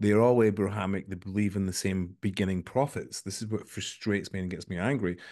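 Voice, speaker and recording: The background is quiet as a man speaks at a fairly quick pace. His voice sits fairly low, with a dark, mellow tone. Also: fairly even intonation, hardly any pauses. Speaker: podcast host. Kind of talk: casual interview. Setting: video call.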